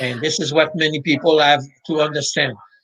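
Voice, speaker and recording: A man with a Quebec accent, fairly high pitch and a moderate pace. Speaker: mental preparation coach. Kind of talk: interview.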